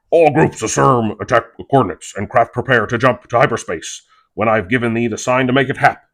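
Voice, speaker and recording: A man puts on a character voice at medium pitch and a fairly quick pace. The background is quiet. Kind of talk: Shakespearean verse. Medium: read story. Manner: commanding.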